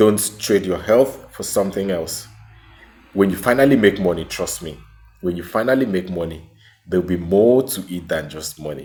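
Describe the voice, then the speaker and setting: Over music in the background, a man with a Nigerian accent speaks at a moderate pace in a very deep, low voice with lively intonation. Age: 30s. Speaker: small business owner and vlogger. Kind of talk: personal testimony vlog.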